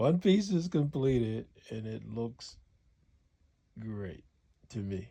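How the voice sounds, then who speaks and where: A man's dark, mellow, somewhat breathy voice of medium pitch, very slow, with lively intonation. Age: 70s. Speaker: upholsterer. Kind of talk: casual workshop talk to camera. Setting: home upholstery shop.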